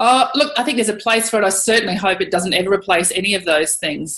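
A woman with a rural Australian accent talks at a very fast pace in a medium-pitched voice. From Queensland, Australia (Monto, North Burnett). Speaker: cattle producer and former photojournalist. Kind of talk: interview. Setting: at home, remote interview.

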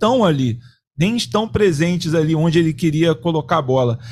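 Pitch swings very widely as the speech holds a moderate pace. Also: man. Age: 40s. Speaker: sports producer and co-host. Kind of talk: casual chat.

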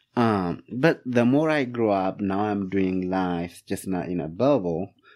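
A dark, mellow tone with an Ethiopian accent, ordinary pitch variation and a very slow pace, in a very clean recording with a silent background. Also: man. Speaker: immigrant, public health student and professional. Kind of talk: casual interview conversation. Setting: studio.

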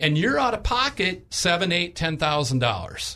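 A man speaks in a high voice. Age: 60s. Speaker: health insurance agent. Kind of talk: radio interview.

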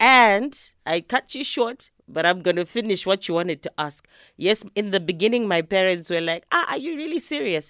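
Dry and close with no echo, a woman's voice moves through very wide pitch swings at a moderate pace. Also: medium pitch for a woman, very clean recording, silent background. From Zimbabwe. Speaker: singer-songwriter. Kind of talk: interview. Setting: studio.

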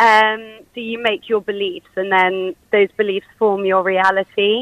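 The woman's tone is bright and sharp, at a moderate pace. The sound is dry and close with no echo. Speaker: caller, clinical hypnotherapist. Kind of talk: phone-in chat.

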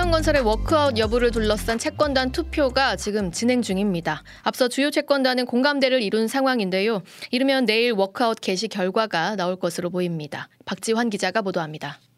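Speaking fairly quickly with lively intonation, a woman uses an ordinary speaking voice at a fairly high pitch. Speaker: radio news anchor. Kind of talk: news reading. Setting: studio.

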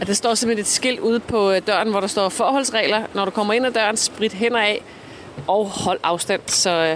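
Over noticeable background noise, a woman speaks at a fairly slow pace with a fairly high pitch and ordinary pitch variation. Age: 40s. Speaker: island resident, office worker. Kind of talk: self-recorded audio diary.

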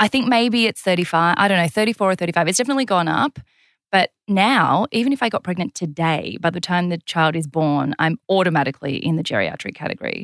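With lively intonation and a fairly low pitch, a woman talks at a very fast pace in a dry, close sound with no echo, on a very clean recording with a silent background. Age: 30s. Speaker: TV presenter and podcast host. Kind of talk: casual interview.

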